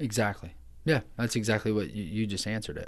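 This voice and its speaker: A man speaks at a fairly quick pace in a fairly low voice. The background is quiet. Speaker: pastor. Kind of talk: casual chat. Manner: passionate.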